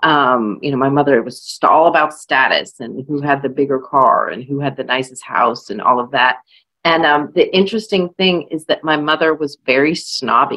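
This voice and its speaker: A woman with an American accent, very deep and low in pitch, with ordinary pitch variation. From California, US. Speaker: author. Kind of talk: panel discussion. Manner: hesitant, many fillers.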